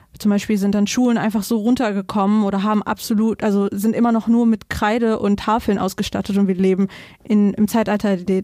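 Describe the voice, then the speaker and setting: A woman with a dark, mellow tone speaks at a fairly quick pace in a medium pitch and a flat monotone, on a very clean recording with a silent background. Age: 20s. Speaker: local council candidate. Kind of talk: interview.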